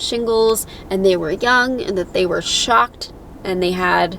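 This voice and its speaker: Speech with ordinary pitch variation unfolds fairly slowly, and noticeable background noise runs beneath it. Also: woman. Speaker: patient vlogger. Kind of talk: casual vlog.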